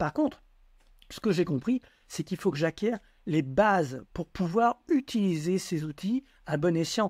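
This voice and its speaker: A man speaks at a fairly slow pace with lively intonation. The recording is very clean with a silent background and a dry, close sound with no echo. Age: 60s. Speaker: entrepreneur and educational book author. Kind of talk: casual chat.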